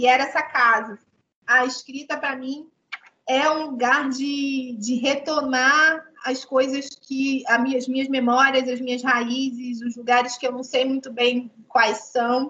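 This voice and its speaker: Using a raised, projected voice, a woman speaks at a high pitch and fairly slow pace with monotone, flat intonation. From Rio de Janeiro, Baixada Fluminense (Brazil). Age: 30s. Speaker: writer. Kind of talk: online talk to students. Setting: video call.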